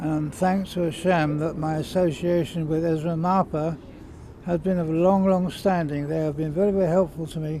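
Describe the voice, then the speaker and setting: A man talks at a moderate pace with a high pitch and monotone, flat intonation. Noticeable background noise sits behind him. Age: 70s. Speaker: elderly client. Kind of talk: testimonial. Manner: halting.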